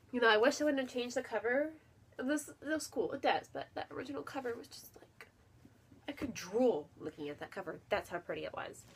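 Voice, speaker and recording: Speaking at a fairly quick pace, a woman uses a high voice that swings very widely in pitch. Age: 20s. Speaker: book vlogger. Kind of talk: casual chat. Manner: animated.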